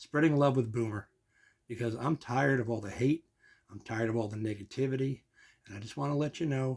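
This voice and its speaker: Somewhat breathy and very fast, the speaker has an American accent, captured in a very clean recording with a silent background. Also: man. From New Jersey (Kearny). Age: 60s. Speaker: vlogger, amateur comedian. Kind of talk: casual vlog monologue. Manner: conversational, warm and informal.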